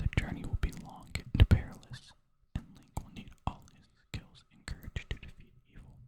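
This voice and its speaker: Whispering at a moderate pace. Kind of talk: reading book blurb aloud. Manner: whispered.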